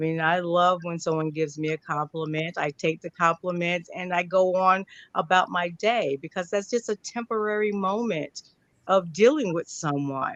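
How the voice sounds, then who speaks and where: A woman with an American accent uses a plain, everyday voice, fairly low in pitch with ordinary pitch variation. She talks at a moderate pace, and the sound is dry and close with no echo. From New York. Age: 60s. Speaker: panelist in political work. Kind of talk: panel discussion.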